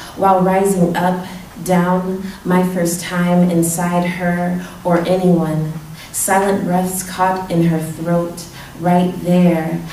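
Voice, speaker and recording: Over light background noise and audible room echo, a woman speaks very slowly at a fairly low pitch in a monotone, flat intonation. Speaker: poet. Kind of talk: poem performed at a reading, intimate and confessional spoken-word delivery. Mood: intimate, measured. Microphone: podium.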